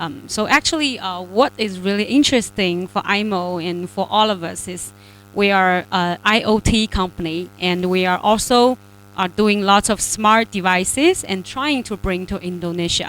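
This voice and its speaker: A woman speaks at a fairly slow pace, her medium pitch moving with ordinary variation. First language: not Indonesian (speaking Indonesian). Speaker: regional head of a tech company. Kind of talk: welcome speech. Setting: online webinar. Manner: halting, many fillers.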